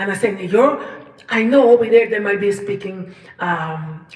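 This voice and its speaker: Noticeable background noise and audible room echo fill the recording. A woman speaks at medium pitch with ordinary pitch variation. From Colombia. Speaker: singer-songwriter. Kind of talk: personal storytelling livestream. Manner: halting, many fillers and repetitions.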